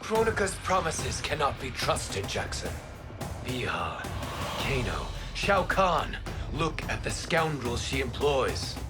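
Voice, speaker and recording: Over loud background music, a man talks fairly slowly in a cartoonish character voice. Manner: formal, measured.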